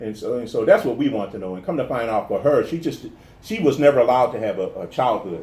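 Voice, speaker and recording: A man with an American accent at a very fast pace, loudness swinging widely, with audible room echo. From New Orleans, US South. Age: 50s. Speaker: comedian and actor. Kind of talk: interview. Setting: garage with door open. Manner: halting, many repetitions.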